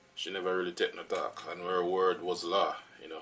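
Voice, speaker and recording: A man with a Jamaican accent at a moderate pace, with noticeable background noise. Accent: Jamaican English with patois features. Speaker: vlogger. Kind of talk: personal storytelling vlog. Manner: casual, many fillers.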